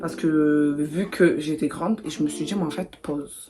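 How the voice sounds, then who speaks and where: A woman with a very deep, low pitch keeps a moderate pace and fairly even intonation, noticeable background noise audible behind her. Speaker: beauty vlogger. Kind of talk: casual chat while doing makeup. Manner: stutters.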